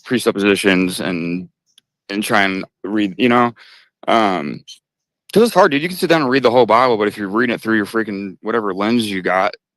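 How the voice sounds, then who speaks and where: Over a silent background in a very clean recording, a man with a normal speaking voice talks at a fairly quick pace, his pitch fairly low with ordinary variation. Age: 30s. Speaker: caller on religion discussion stream. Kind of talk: casual debate.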